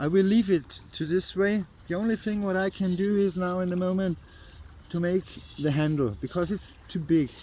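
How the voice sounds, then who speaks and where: Speaking with an Austrian accent, a man has a high pitch and a dark, mellow tone. His pace is moderate. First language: German (Austrian dialect). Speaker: bushcraft vlogger. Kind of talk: casual outdoor vlog while crafting. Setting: outdoors by a river. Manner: halting, non-native phrasing.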